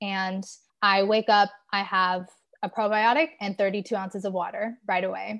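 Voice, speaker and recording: Over a quiet background, a woman speaks at a medium pitch and moderate pace. Her intonation is fairly even. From Southern California. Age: 20s. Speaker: holistic health coach. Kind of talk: casual chat interview.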